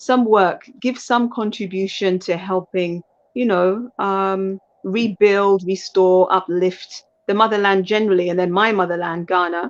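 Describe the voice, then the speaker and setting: A woman with a British accent speaks at a medium pitch, using fairly even intonation and a fairly slow pace. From UK. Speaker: lawyer and life coach, aspiring politician. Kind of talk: interview. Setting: live stream. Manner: halting, with fillers.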